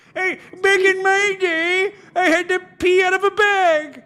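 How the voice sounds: This is a put-on character voice at an extremely high pitch. It moves at a fairly slow pace with monotone, flat intonation.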